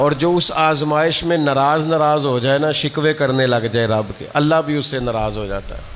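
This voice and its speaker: A man talks at a fairly high pitch. Behind him, background noise is noticeable. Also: ordinary pitch variation. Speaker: Islamic scholar giving a religious talk. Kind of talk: Islamic sermon (bayan) in Urdu. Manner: conversational, warm, with rhetorical questions.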